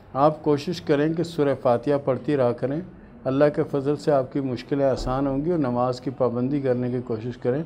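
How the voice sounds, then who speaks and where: Against light background noise, a man speaks in a dark, mellow tone with fairly even intonation. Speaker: palm reader answering viewer questions. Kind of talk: advice talk answering questions. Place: home room.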